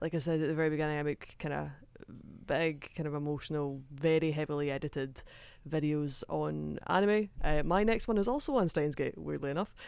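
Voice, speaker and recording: A Scottish accent at a fairly quick pace, in a very clean recording with a silent background. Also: woman, very deep, low pitch for a woman, ordinary pitch variation. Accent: deep Scottish. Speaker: anime video creator. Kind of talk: casual chat.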